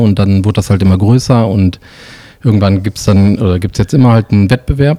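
Speaking at a fairly quick pace, a man has a fairly low pitch and a dark, mellow tone. His pitch variation is ordinary. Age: 40s. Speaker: illustrator and designer. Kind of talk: casual interview.

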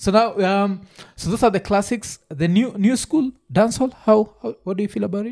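Moderate pace and ordinary pitch variation on a very clean recording with a silent background. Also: man, high pitch for a man. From Kenya. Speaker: podcast host. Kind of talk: casual chat.

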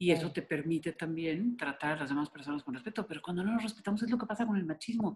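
Breathing somewhat breathily, a woman rushes along at a very fast pace with hardly any pauses, her fairly low voice full of lively intonation. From Mexico. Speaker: consultant and public speaker on gender. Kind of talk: radio interview. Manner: animated.

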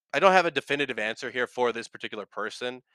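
The recording is very clean with a silent background and a dry, close sound with no echo. A man talks at a very fast pace and a medium pitch, with ordinary pitch variation. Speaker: podcast host. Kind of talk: casual solo podcast, reading and reacting to Reddit posts. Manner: fast talker, filler words; casual, self-deprecating, chatty.

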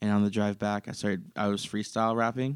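Speech comes at a very fast pace with fairly even intonation. The recording is very clean with a silent background and a dry, close sound with no echo. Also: man. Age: 20s. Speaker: podcast host and coffee barista. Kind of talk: casual chat.

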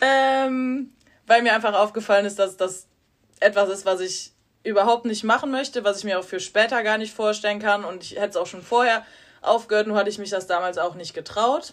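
The speech has an ordinary speaking voice at a fairly quick pace. Its loudness swings widely. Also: woman, fairly high pitch for a woman, ordinary pitch variation. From Rhineland, near Cologne. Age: 20s. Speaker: nursing trainee. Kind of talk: casual chat. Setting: hotel room.

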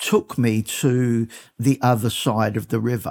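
An American accent marks a man's medium-pitched voice, recorded with a dry, close sound and no echo. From South London, England (Brixton). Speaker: car collector. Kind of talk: interview.

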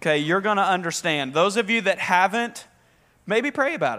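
A man with a Southern accent speaks in a raised, projected voice. His tone is bright and sharp, and his pitch swings very widely. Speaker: pastor. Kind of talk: sermon. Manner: animated.

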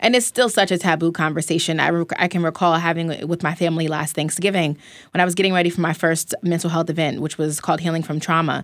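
The speech comes at a very fast pace with hardly any pauses and fairly even intonation, on a very clean recording with a silent background. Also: woman, fairly low pitch for a woman. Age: 20s. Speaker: journalist and wellness founder. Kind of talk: casual chat. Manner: casual, free-spoken.

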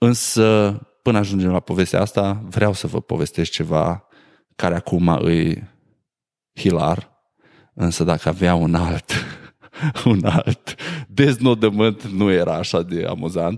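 Very slow and broken by long, frequent pauses, a man's very deep, low voice shows ordinary pitch variation. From Romania, Maramureș (Sighetu Marmației). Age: 30s. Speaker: podcast host. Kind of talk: casual monologue.

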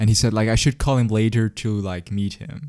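In a very clean recording with a silent background, a man speaks at a fairly low pitch with fairly even intonation. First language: Swiss German. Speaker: podcast host. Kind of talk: casual chat.

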